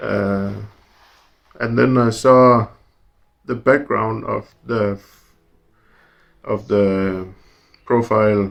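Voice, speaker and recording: A man speaks very slowly with long, frequent pauses. His fairly low voice keeps a fairly even intonation. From Denmark. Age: 30s. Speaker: truck driver. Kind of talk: casual interview. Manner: halting.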